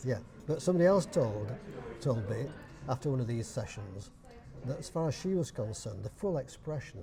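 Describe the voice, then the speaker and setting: Medium-pitched male speech in a Yorkshire accent, fairly quick, with very wide pitch swings and long, frequent pauses. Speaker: dialect society chairman. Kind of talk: interview answer.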